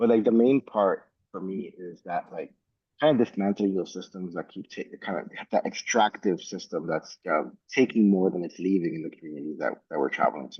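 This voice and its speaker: Speaking at a fairly quick pace with a Spanish accent, a man uses a fairly low pitch and lively intonation. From New York (Bronx) and Dominican Republic. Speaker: travel company founder. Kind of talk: panel discussion. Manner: many fillers like 'like' and 'um'.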